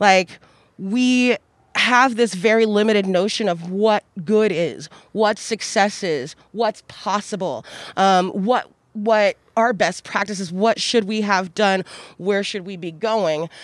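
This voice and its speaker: A woman talks at a very slow pace on a very clean recording with a silent background. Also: medium pitch for a woman, ordinary pitch variation. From Kansas, US. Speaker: housing authority worker and former city council candidate. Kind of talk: casual conversational interview. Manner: animated, profane.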